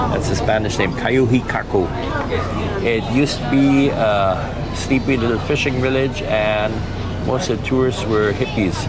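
Over crowd noise in the background, the speech moves at a fairly slow pace with ordinary pitch variation. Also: man. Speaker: travel vlogger. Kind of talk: casual vlog chat. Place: boat. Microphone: lapel.

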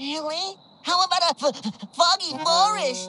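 A woman's put-on character voice, extremely high in pitch, bright and sharp in tone, with ordinary pitch variation at a fairly slow pace

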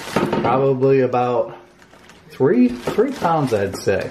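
A man speaking at a very slow pace over light background noise. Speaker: home cook vlogger. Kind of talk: casual vlog chat. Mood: joking, playful. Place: kitchen. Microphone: phone near.

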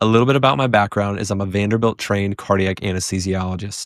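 In a dry recording with no echo, a man speaks at a fairly low pitch with ordinary pitch variation. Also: quiet background. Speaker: physician podcast host. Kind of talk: podcast introduction and lecture. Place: studio. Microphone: studio mic.

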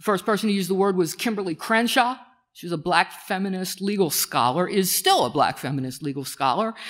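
Over a quiet background, a woman talks with lively intonation. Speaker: keynote speaker. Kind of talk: lecture. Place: stage.

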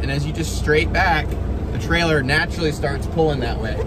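Loud background noise surrounds a man with ordinary pitch variation in a dry sound with no echo. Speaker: truck driver vlogger. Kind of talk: casual vlog chat. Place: car. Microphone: phone near.

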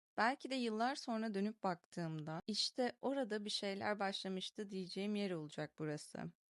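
A woman with an ordinary speaking voice talks at a medium pitch and a moderate pace with hardly any pauses. Her intonation is lively, and the sound is dry and close with no echo. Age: 20s. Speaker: video diary vlogger. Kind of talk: reading aloud a personal diary.

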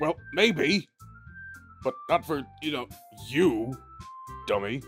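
A man performs a put-on character voice, fairly high with lively intonation. He goes at a fairly slow pace over faint background music. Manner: sour, defensive.

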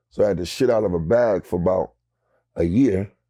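A man talks in a very deep, low pitch with a dark, mellow tone. His pitch varies in an ordinary way against a quiet background. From North Philadelphia; Philadelphia. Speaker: rapper; interview guest. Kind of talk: interview. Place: studio.

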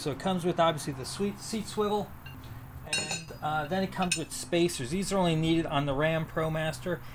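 A man talks at a fairly quick pace with ordinary pitch variation. Background noise is noticeable. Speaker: van build vlogger. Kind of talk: tutorial. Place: street. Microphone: camera far.

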